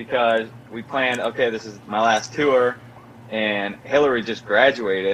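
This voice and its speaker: A man talks at a medium pitch with ordinary pitch variation. Noticeable background noise can be heard. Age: 20s. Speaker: former show regular, now a father. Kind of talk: casual chat. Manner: animated.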